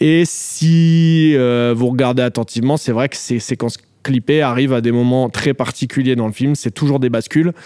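With a normal speaking voice, a man talks at a moderate pace in a medium pitch and fairly even intonation. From France, Paris suburbs. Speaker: film director. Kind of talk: interview.

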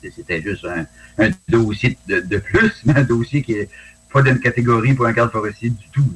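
Somewhat breathy, the voice proceeds at a moderate pace. Its pitch variation is ordinary. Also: man, medium pitch for a man. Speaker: retired forest ranger and dog handler, UFO witness. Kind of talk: interview testimony. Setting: video call.

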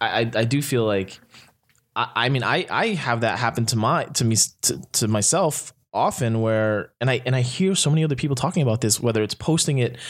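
Here is a man with an American accent and an ordinary speaking voice, medium in pitch with ordinary variation. He talks at a fairly quick pace with very even loudness, on a very clean recording with a silent background. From US Northeast. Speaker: social media consultant. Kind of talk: casual chat. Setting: studio.

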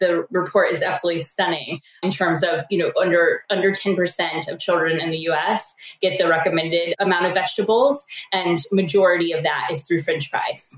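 A woman with an American accent uses a normal speaking voice at a medium pitch, moderate pace and fairly even intonation. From rural US. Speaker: startup co-founder. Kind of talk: interview.

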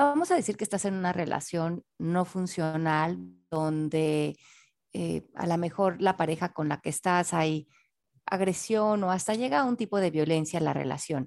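A woman with an unremarkable speaking voice, fairly low in pitch, at a fairly slow pace with ordinary pitch variation, in a very clean recording with a silent background. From Mexico City. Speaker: author and personal development teacher. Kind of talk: interview.

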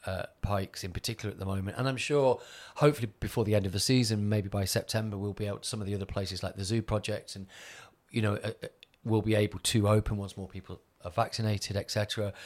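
Very clean with a silent background, the recording has a man with a fairly low pitch speaking at a very fast pace with fairly even intonation. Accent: Mancunian. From Manchester, northern England. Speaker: DJ and agency owner. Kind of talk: casual interview chat.

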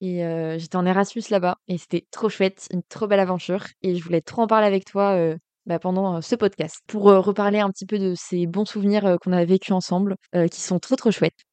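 A woman speaks at a medium pitch with a monotone, flat delivery. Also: moderate pace. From western France, Cholet (Maine-et-Loire). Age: 20s. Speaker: graphic design student. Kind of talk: casual chat.

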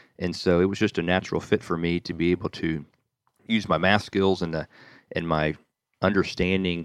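With a Southern US accent, a man speaks at a fairly quick pace in a very deep, low pitch and a monotone, flat intonation, the sound dry and close with no echo over a quiet background. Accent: American, Southern US. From US South, Nashville, Tennessee. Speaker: real estate developer. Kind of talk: interview.

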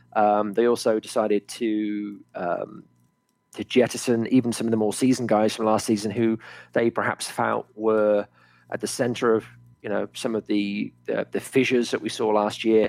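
On a very clean recording with a silent background, a man with a southern English accent speaks at a moderate pace in a fairly low pitch with monotone, flat intonation. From England, Oxford. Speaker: sports podcast co-host. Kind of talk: casual chat.

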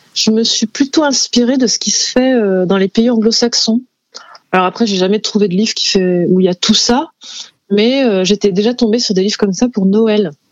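This is a woman with a plain, everyday voice. Her pitch is fairly high, with ordinary variation, at a moderate pace. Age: 30s. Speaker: illustrator and author. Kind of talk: interview. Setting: studio.

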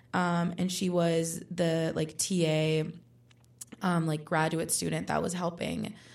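In a fairly low voice with vocal fry, a woman talks in a flat monotone. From Puerto Rico. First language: Spanish. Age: 20s. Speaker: undergraduate student. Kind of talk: casual interview.

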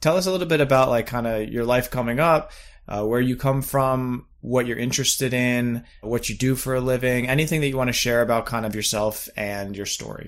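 An unremarkable speaking voice from a man at a medium pitch, fairly quick pace, and ordinary pitch variation, with hardly any pauses, on a very clean recording with a silent background. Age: 30s. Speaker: podcast host. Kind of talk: interview. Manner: casual.

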